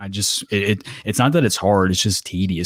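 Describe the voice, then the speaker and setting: On a very clean recording with a silent background, a man talks at a moderate pace in a fairly low pitch with fairly even intonation. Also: dry, close sound with no echo. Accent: American. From US South, Kentucky. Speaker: podcast host and YouTuber. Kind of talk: casual interview chat.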